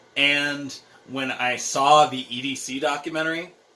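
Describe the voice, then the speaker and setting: A man's voice is heard over noticeable background noise. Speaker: vlogger. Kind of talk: casual vlog monologue. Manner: loud.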